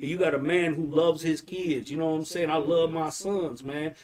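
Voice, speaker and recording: Over noticeable background noise, a man with a Detroit accent talks at a fairly high pitch and fairly quick pace in an animated tone. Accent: Detroit urban American English. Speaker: podcast host. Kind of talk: casual chat, interview. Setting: live podcast, video. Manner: animated, casual, slangy.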